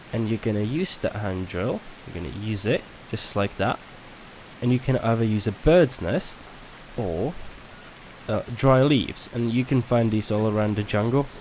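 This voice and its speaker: A man speaks at a medium pitch and a moderate pace, with ordinary pitch variation. He takes long, frequent pauses over noticeable background noise. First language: not English. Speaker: gaming youtuber. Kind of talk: gameplay tutorial. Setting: home recording at night. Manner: casual, hesitant with fillers.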